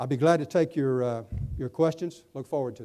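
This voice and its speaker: A man with an Alabama accent speaks at a fairly quick pace in a dark, mellow tone, his fairly high pitch showing ordinary variation. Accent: Southern US (Alabama). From Alabama, US South. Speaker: public safety network board official, keynote speaker. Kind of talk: conference keynote and Q&A. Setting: conference luncheon with audience.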